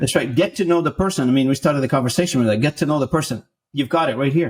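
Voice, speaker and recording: Speaking at a very fast pace, a man with a fairly high pitch and a somewhat breathy voice keeps very even loudness and ordinary pitch variation. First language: not English (English is third language). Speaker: sales executive. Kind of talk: podcast interview.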